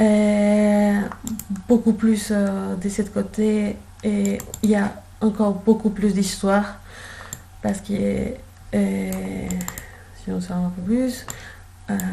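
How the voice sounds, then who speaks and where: A woman speaking at a very slow pace, long and frequent pauses, noticeable background noise behind her. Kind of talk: casual guided tour. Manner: hesitant, many fillers.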